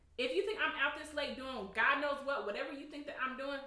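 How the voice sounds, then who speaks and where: A woman speaks in a raised, projected voice at a high pitch and a fairly quick pace, with lively intonation. Noticeable background noise runs underneath. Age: 30s. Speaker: podcast co-host. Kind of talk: casual chat.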